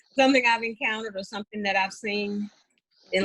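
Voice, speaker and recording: This woman has a plain, everyday voice with a fairly high pitch. Her pace is fairly quick. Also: dry, close sound with no echo. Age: 50s. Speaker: special education teacher. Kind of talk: interview.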